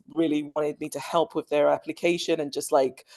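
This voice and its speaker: A woman with a London accent speaks fairly quickly in a very deep, low pitch with a dark, mellow tone and fairly even intonation, in a dry, close sound with no echo. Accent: British (London). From London, England. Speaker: school dean of students. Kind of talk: interview.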